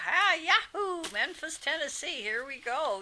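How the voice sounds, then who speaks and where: A woman puts on a character voice in a Southern accent, with an extremely high pitch. She speaks at a fairly slow pace. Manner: exuberant.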